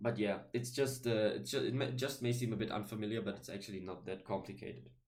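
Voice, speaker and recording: Speaking very fast with a German accent, a man uses medium pitch, ordinary pitch variation and vocal fry. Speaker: YouTuber talking about linguistics. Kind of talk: casual video monologue. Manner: halting, many fillers and restarts.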